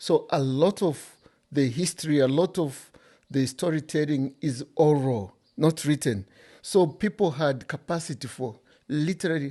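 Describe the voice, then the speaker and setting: A man with a Zambian accent talks at a fairly slow pace in a fairly high pitch, his tone dark and mellow, with ordinary pitch variation against a quiet background. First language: Bemba. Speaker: author. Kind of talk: interview.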